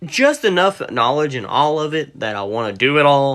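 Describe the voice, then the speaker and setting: Bright and sharp in tone, a man speaks with a West Virginia accent. His pace is moderate and his intonation lively. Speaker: reptile seller and breeder. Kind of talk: livestream chat. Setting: livestream. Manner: rambling, casual.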